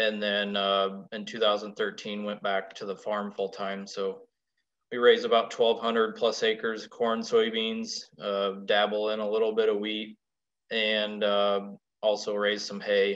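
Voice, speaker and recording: A man speaks fairly slowly. His intonation is monotone and flat. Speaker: presenter. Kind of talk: presentation talk. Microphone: video call.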